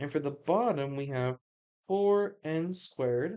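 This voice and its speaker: The voice belongs to a woman. It has a dark, mellow tone. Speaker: math tutor. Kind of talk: tutorial. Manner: halting.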